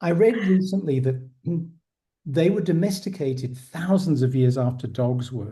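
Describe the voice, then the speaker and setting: Audible room echo surrounds a man whose fairly high voice has a dark, mellow tone, lively intonation and a moderate pace. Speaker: podcast host. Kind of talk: casual interview.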